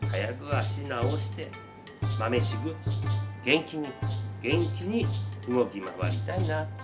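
A man talks at a very slow pace with long, frequent pauses while music plays clearly behind him. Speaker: cafe bar owner. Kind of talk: casual talk to camera. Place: bar. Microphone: camera far.

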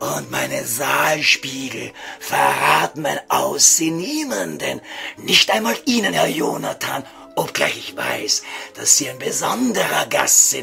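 A man's put-on character voice, raised and projected, at a fairly slow pace over clear background noise. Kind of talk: comic radio sketch, mock-solemn elevated speech. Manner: pompous, formal, courteous, stilted.

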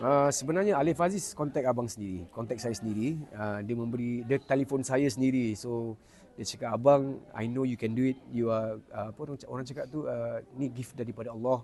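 Delivered fairly quickly, this voice carries a dark, mellow tone. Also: man, medium pitch for a man, ordinary pitch variation, hardly any pauses. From Singapore. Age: 40s. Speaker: singing competition contestant. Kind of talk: casual interview. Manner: hesitant, many fillers.

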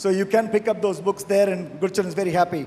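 A man speaks very fast with fairly even intonation, light background noise behind him. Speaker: panel moderator. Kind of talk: panel discussion. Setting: stage with audience. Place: hall. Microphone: handheld.

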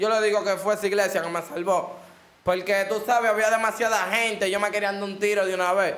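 A man with a Dominican accent, high in pitch, at a fairly quick pace with monotone, flat intonation. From Dominican Republic. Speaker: rapper; interview guest. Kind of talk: casual interview. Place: studio. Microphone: studio mic.

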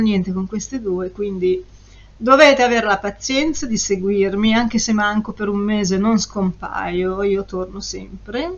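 A woman is speaking with fairly high pitch. Her pitch variation is ordinary. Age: 50s. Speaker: perfume reviewer YouTuber; perfume reviewer. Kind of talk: casual vlog review. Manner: animated, chatty. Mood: euphoric, playful. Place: home room. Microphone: webcam.

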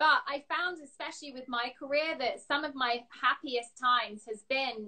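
Against a quiet background, a woman speaks at a high pitch. Her pace is moderate and her pitch variation ordinary. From England. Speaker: interview show host. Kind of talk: live video interview. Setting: video call. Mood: warm, encouraging. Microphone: phone near.

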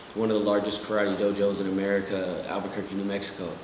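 Through noticeable background noise and audible room echo, a man talks with a fairly low pitch and monotone, flat intonation. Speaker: interview guest. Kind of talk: interview answer. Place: studio.

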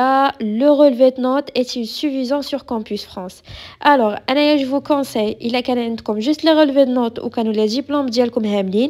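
On a very clean recording with a silent background, a woman with a high pitch talks at a fairly slow pace with ordinary pitch variation. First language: Moroccan Arabic (speaking French). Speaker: YouTuber answering immigration questions. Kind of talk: Q&A vlog.

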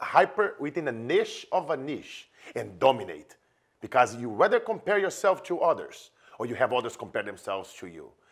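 A man with a Brazilian accent, animated in tone, fairly quick, with very wide pitch swings and vocal fry against a quiet background. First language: Portuguese. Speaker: business coach. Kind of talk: promotional interview chat. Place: home room. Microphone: lapel.

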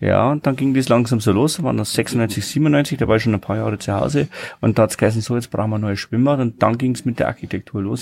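Talking at a fast pace, a man with fairly low pitch shows ordinary pitch variation, a slightly mellow tone, a slightly husky edge and vocal fry.

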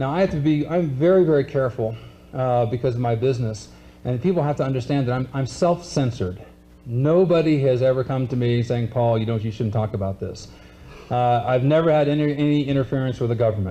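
A man talks at a fairly quick pace in a dark, mellow tone that is somewhat breathy, with ordinary pitch variation. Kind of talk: lecture. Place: stage. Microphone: podium.

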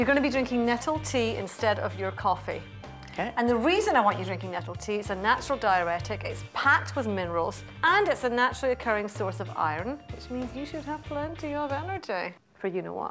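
Fairly quick female speech over faint music in the background. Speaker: TV nutrition host. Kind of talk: instructive TV presenting. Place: kitchen.

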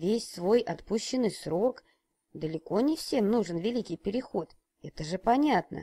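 Against a quiet background, the text is given as plain reading aloud.

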